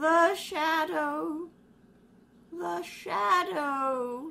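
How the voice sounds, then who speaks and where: A woman's put-on character voice, high in pitch, with very wide pitch swings. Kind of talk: 1930s radio acting. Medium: audio drama. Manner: haughty.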